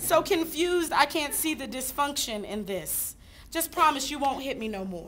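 Bright and sharp, a woman's raised, projected voice moves at a moderate pace with very wide pitch swings. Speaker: slam poet. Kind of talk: slam poetry performance. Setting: live audience. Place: hall. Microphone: camera far.

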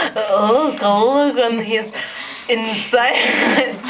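The speaker has a Russian accent, with light background noise behind them. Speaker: pet owner filming. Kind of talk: casual commentary while filming a pet. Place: home room. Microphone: phone near.

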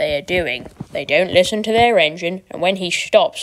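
The speaker uses a natural reading voice.

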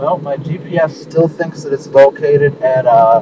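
Against noticeable background noise, a man speaks with a dry sound and no echo. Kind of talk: casual vlog chat. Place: car. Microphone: phone near.

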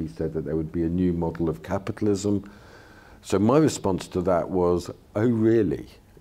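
A man with a London accent, very deep in pitch, dark and mellow in tone, at a moderate pace with ordinary pitch variation. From London, England. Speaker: political theorist and lecturer; lecture guest in dialogue. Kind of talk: lecture then discussion. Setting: stage with audience. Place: hall. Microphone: handheld.

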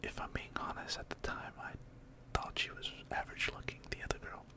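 A man whispers, soft-spoken, at a very fast pace. Loud background noise surrounds the dry sound, which has no echo. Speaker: video creator. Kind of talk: casual storytelling vlog chat. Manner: soft close-mic ASMR whisper. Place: home room. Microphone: studio mic.

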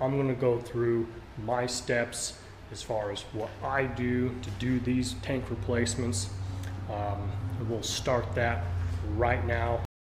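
Amid noticeable background noise, a man speaks very slowly with fairly even intonation and long, frequent pauses. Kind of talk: tutorial. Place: garage. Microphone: phone near.

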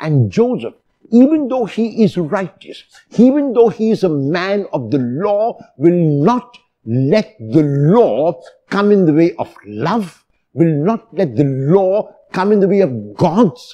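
His pitch rises and falls over a very wide range. The man talks very slowly. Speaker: priest. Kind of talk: sermon.

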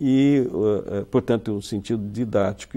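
Delivered at a fairly slow pace, the voice has a dark, mellow tone and ordinary pitch variation. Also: man. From Brazil, São Paulo state (Marília); São Paulo state, Brazil. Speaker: university professor and writer; university professor. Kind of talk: interview. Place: studio. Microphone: lapel.

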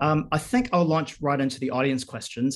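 Fairly quick speech in a New Zealand accent, with fairly even intonation. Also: man. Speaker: webinar host, agency director; webinar host. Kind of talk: webinar moderation. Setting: video call. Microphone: video call.

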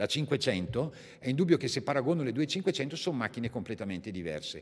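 A man at a moderate pace, his pitch swinging very widely, over a quiet background. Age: 50s. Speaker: company representative; presenter, speaker. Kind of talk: technical product presentation. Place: hall. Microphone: podium.

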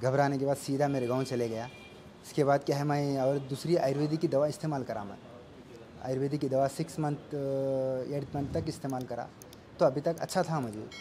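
Over noticeable background noise, a man speaks at a fairly high pitch. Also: fairly even intonation, moderate pace. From Telangana, India (Narayanpet district); Telangana, India. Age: 30s. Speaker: cancer patient. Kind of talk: testimony. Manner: halting. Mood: calm, earnest.

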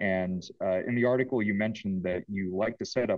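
A man speaks at a moderate pace with fairly low pitch and fairly even intonation. It is an unremarkable speaking voice over a quiet background. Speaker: audio student; student interviewer. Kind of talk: Q&A question. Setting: video call. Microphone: video call.

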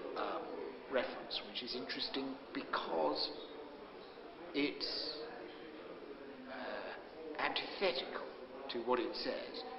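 Against loud background noise, a man talks very slowly with long, frequent pauses. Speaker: comedian and television presenter. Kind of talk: interview answer. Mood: reflective, earnest about poem. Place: hall.

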